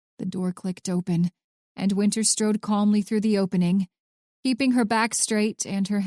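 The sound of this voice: The speaker reads in an unforced reading voice with fairly even intonation against a quiet background.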